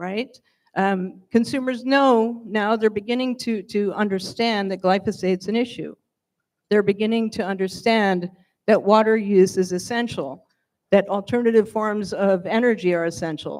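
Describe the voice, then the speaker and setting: A woman with an American accent uses an ordinary speaking voice at a medium pitch, with ordinary pitch variation and a moderate pace, on a very clean recording with a silent background. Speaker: wine industry panelist. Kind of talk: panel discussion.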